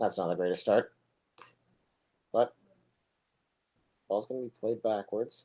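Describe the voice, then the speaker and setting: The speech moves at a fairly slow pace with long, frequent pauses. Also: man. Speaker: soccer commentator. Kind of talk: live commentary. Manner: monotone.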